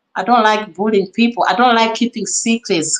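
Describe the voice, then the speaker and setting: The woman's delivery is animated in tone. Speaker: reaction YouTuber. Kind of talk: live stream reaction commentary. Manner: loud.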